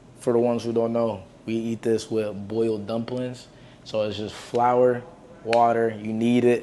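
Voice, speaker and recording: Audible room echo surrounds a man speaking at a moderate pace. His tone is dark and mellow, his intonation monotone and flat. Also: medium pitch for a man. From Jamaica. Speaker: cooking vlogger. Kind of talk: cooking tutorial. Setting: home kitchen. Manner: casual, slangy.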